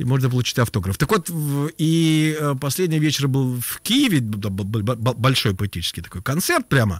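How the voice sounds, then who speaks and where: In a very clean recording with a silent background, a man speaks at a moderate pace in a medium-pitched, somewhat breathy voice. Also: lively intonation. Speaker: former radio and TV host, writer and poet. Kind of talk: casual radio interview chat. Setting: radio studio.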